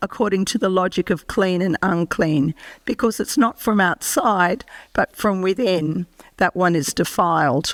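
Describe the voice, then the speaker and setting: This speaker has an Australian accent, a fairly slow pace, lively intonation and very even loudness, in a dry, close sound with no echo. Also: woman. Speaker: professor and medical ethicist. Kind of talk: lecture. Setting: presentation to an audience. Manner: formal.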